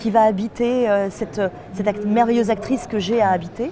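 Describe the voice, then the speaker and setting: A woman talks at a fairly high pitch amid noticeable background noise and audible room echo. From France, Nantes. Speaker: voice actress. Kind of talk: interview. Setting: festival.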